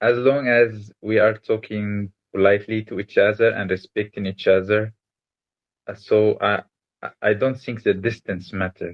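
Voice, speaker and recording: Flat and monotone, a man's fairly low voice proceeds at a moderate speed. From Egypt. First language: Arabic. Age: 20s. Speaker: interviewee, engineer. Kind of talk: interview. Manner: hesitant with fillers.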